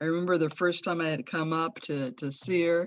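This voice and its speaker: A woman with an American accent speaks at a moderate pace in a fairly low pitch. She has a normal speaking voice. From Los Angeles, US. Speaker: friend of the deceased. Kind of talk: memorial tribute. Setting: video call.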